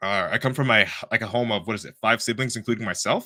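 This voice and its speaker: A man with a Toronto accent, medium in pitch, with a bright, sharp tone on a very clean recording with a silent background. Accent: Canadian English, Toronto. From Canada, Toronto. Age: 20s. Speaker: bodybuilder and podcast host. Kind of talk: casual monologue on a live stream. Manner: animated.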